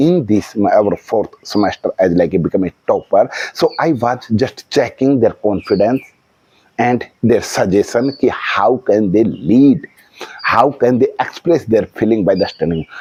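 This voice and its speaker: A man with an Indian accent talks at a fairly slow pace. His intonation is lively, and the sound is dry and close with no echo. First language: Hindi. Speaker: vlogger practicing English. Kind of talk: casual monologue. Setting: outdoors on a house terrace. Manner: halting, with fillers.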